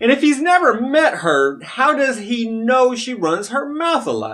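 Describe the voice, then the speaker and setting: A man's pitch swings very widely while the background stays quiet. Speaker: local commentary vlogger. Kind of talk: commentary. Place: home room.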